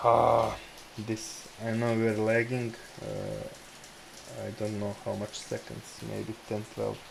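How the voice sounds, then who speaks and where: There is noticeable background noise as a man speaks. His pace is very slow, with long, frequent pauses. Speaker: day trader, livestream host. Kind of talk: casual chat over live trading. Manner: stuttering.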